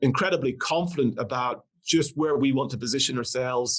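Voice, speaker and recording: Talking at a fairly quick pace, a man with an Irish accent has a fairly high pitch and ordinary pitch variation. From Northern Ireland. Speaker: company CEO. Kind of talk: podcast interview.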